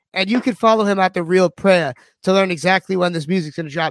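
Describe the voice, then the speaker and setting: In a dry, close sound with no echo, a man talks in an animated tone with ordinary pitch variation. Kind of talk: casual radio interview.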